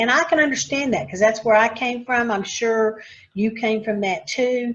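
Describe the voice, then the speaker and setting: Somewhat breathy and fairly high in pitch, a woman speaks at a moderate pace. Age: 60s. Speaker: podcast host, retired credit union CEO. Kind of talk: podcast interview.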